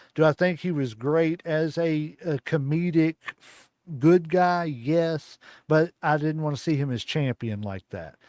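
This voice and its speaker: A man in a Kentucky accent at a fairly high pitch, ordinary pitch variation and a fairly slow pace, the sound dry and close with no echo on a very clean recording with a silent background. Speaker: wrestling podcast host. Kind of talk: casual chat.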